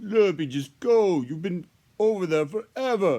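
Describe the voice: Using a put-on character voice, a man speaks high for a man at a moderate pace.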